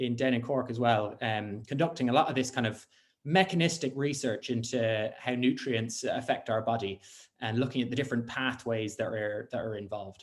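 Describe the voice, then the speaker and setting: This man speaks with a Dublin accent. His pace is moderate. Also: medium pitch for a man, ordinary pitch variation. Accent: Dublin Irish. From Ireland, Dublin. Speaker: scientist. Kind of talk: conference talk. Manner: hesitant with many fillers.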